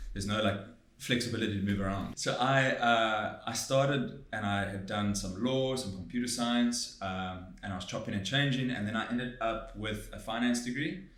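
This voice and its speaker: Amid noticeable background noise and audible room echo, a man speaks at a moderate pace with hardly any pauses. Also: medium pitch for a man, ordinary pitch variation. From South Africa, Durban. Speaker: tech product manager. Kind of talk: podcast interview.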